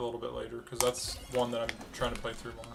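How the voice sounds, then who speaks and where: Very fast male speech over music playing behind it. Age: 20s. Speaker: software engineering student streamer. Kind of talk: casual livestream chat. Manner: casual, filler-heavy.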